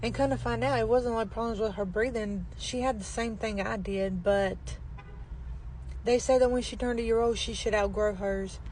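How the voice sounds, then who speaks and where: The speech is quiet, at a moderate pace, with audible room echo. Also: woman. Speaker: vlogger. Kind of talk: casual vlog talk.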